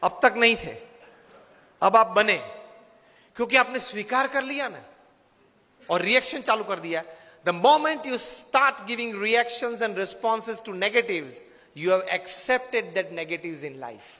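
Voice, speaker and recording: With a raised, projected voice pitched high for a man, he speaks with lively intonation, big swings in loudness, and long, frequent pauses. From India, Gujarat. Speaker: motivational speaker and spiritual leader. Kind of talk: motivational speech.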